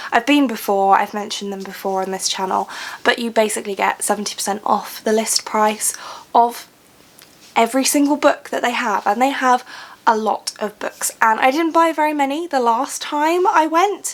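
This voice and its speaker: Over noticeable background noise, a woman with a high voice speaks with lively intonation. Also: moderate pace. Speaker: book vlogger. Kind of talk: casual vlog talk.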